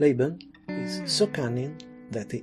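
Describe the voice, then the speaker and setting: Music plays in the background. A man with an Italian accent speaks at a fairly slow pace. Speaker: anime and comics culture video narrator. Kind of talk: friendly cultural explainer talk. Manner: friendly.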